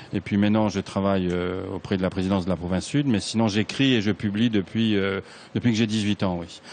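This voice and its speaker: Fairly low-pitched and fairly even in intonation, a man speaks at a fairly quick pace. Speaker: writer. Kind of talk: interview.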